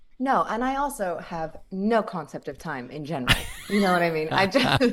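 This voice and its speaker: A woman speaks at medium pitch and a moderate pace, her pitch swinging very widely. Noticeable background noise sits behind her. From Australia. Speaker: actress and online video creator. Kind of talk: casual interview chat. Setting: video call.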